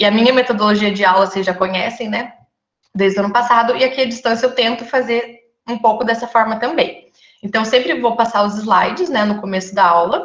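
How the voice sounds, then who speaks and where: A woman's fairly high voice with ordinary pitch variation and audible room echo. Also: fairly quick pace. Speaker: nursing lecturer. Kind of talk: online lecture. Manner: fast.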